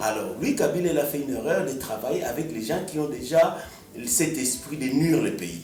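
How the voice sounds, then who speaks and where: Talking at a moderate pace with ordinary pitch variation, a man with a fairly high voice is heard over noticeable background noise. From DR Congo. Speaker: musician. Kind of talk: radio interview answer.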